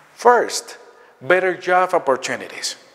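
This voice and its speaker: A fairly slow male voice, high-pitched for a man, its pitch varying in an ordinary way. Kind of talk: welcome speech. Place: hall. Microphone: lapel.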